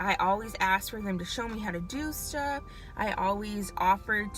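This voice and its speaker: A woman talks at a moderate pace. Music is playing behind her. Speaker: licensed vocational nurse. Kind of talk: casual talk to camera. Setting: in a car. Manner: stutters.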